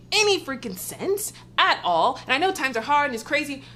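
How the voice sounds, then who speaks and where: A high-pitched woman with very wide pitch swings amid noticeable background noise. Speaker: movie reviewer. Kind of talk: casual vlog review. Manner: loud; animated.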